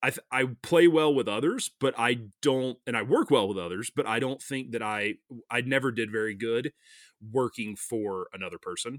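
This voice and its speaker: A man's medium-pitched voice with an American accent, an ordinary speaking voice, ordinary pitch variation and a moderate pace, on a very clean recording with a silent background. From US South, North Alabama. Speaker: fly fishing company founder. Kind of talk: casual chat.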